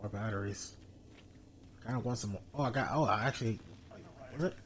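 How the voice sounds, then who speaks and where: Talking at a very fast pace, a man's loudness rises and falls in big swings. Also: medium pitch for a man, ordinary pitch variation. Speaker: gaming streamer. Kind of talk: let's play commentary.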